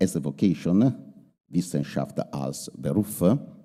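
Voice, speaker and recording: A man talks at a fairly slow pace with an Italian accent, his very deep, low pitch carrying vocal fry. His tone is dark and mellow, and his intonation is lively. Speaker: university rector. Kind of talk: formal speech. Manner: halting, many hesitations.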